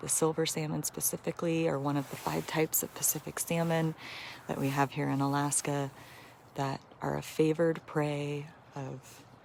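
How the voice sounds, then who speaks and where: A woman speaks at a moderate pace in a soft-spoken voice. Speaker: wildlife conservationist. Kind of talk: livestream commentary. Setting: outdoors.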